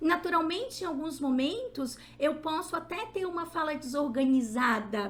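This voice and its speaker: A woman's high-pitched, animated voice at a moderate pace, with very wide pitch swings and audible room echo. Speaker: psychologist and lecturer. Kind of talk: lecture.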